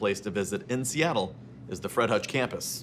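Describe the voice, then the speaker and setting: At a moderate pace, a man talks in a plain, everyday voice of medium pitch, his intonation lively. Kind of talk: comedic interview banter.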